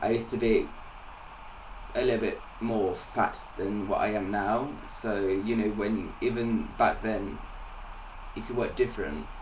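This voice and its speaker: Speaking at a fairly slow pace with long, frequent pauses, a man is heard over noticeable background noise and audible room echo. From England. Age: 20s. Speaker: singer-songwriter. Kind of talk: interview. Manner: halting.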